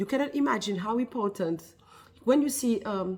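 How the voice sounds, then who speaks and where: With a French accent, a woman talks in a fairly high, somewhat breathy voice and lively intonation. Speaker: wellness business founder. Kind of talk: casual vlog talk to camera. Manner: halting, with many fillers.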